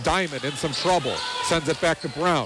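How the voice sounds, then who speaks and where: Noticeable background noise is present as the words come at a moderate pace. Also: man. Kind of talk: live radio play-by-play basketball commentary. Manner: lifts in excitement on made shots, then settles back into an even, informative tone.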